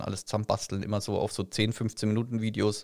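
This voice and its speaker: A man talks very fast at a medium pitch. The recording is very clean with a silent background. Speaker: podcast co-host and streamer. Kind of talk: casual chat.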